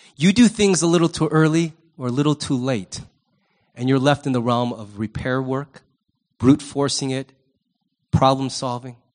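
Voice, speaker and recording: A man speaks in an animated tone with ordinary pitch variation. He leaves long, frequent pauses. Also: medium pitch for a man, moderate pace. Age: 50s. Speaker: pastor. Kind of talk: sermon. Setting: church.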